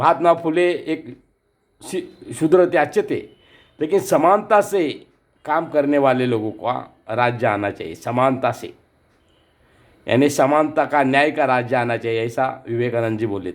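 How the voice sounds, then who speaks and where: A man's fairly high voice with lively intonation and big swings in loudness, on a very clean recording with a silent background. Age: 60s. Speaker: artist. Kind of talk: commemorative speech. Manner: halting, with repetitions.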